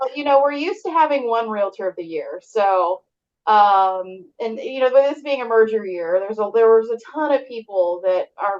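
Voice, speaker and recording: A woman with a Texan accent, fairly high pitch, lively intonation and a moderate pace. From southern Texas. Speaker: real estate agent. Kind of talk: interview.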